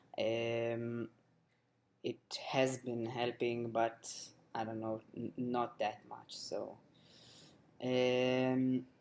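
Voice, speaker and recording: Monotone and flat, a man speaks at a very slow pace with long, frequent pauses. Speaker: video blogger. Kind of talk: casual vlog monologue. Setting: home webcam recording, low lighting. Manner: hesitant, many fillers.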